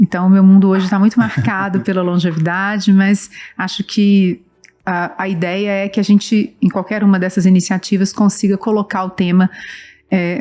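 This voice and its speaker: A woman with a strong Minas Gerais accent, medium pitch, a dark, mellow tone, fairly even intonation and a moderate pace. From Brazil, Belo Horizonte (Minas Gerais). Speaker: nonprofit director and professor. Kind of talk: interview.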